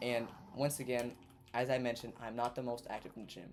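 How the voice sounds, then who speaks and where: There is music in the background as a man speaks. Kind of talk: casual storytime commentary over gameplay. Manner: casual, profane, animated.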